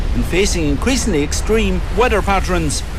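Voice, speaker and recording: In a Kerry accent, the speech moves at a fairly quick pace against noticeable background noise. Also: man. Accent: Kerry Irish. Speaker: radio host. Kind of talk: casual chat. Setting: studio.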